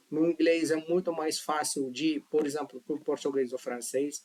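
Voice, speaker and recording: A man with a non-native accent talks at a moderate pace and a fairly high pitch, his intonation fairly even and the sound dry and close with no echo. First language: not Portuguese (speaking Portuguese). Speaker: language teacher. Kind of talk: tutorial. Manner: casual, conversational.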